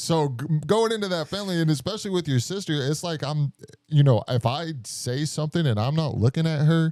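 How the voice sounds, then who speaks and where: A man mumbles at a fairly quick pace in a fairly high pitch, his tone dark and mellow. His pitch varies in an ordinary way. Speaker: podcast host. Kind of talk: casual chat. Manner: mumbling; quiet, lowered voice.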